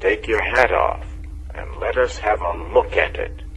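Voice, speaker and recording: A man uses a put-on character voice pitched extremely high, at a moderate pace. Background noise is clearly audible. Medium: read story. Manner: curt.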